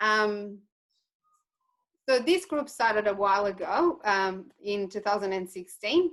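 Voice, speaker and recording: A woman speaks with a Portuguese accent and lively intonation. Her pace is fairly slow, broken by long, frequent pauses. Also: medium pitch for a woman. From Portugal. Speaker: cattle farmer. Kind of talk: webinar presentation. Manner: hesitant with many fillers.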